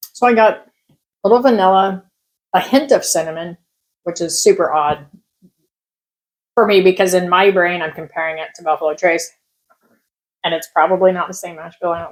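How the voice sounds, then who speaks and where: The speech moves at a fairly quick pace but has long, frequent pauses. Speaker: whiskey reviewer. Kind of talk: casual tasting review. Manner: loud talker, restraining volume.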